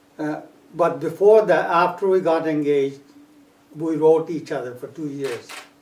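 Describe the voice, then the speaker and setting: Over noticeable background noise, a man with a fairly high pitch speaks at a moderate pace with fairly even intonation and big swings in loudness. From Punjab, India. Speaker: immigrant oral history interviewee. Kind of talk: oral history interview. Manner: halting.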